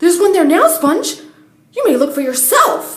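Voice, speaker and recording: A woman uses a put-on character voice, squeaky and extremely high-pitched, with lively intonation at a moderate pace. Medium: read story. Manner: harsh, sharp.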